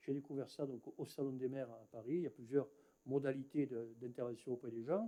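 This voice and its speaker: A man speaks at a fairly quick pace, his pitch medium and his tone dark and mellow. His pitch varies in an ordinary way, while his loudness swings widely. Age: 60s. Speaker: mayor. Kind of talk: municipal council speech. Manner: halting, many hesitations.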